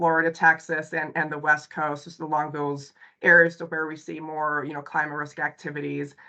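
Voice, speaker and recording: A woman with a very deep, low pitch talks at a fairly quick pace. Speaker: consultant presenting a company webinar. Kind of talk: webinar presentation. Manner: hesitant, many fillers.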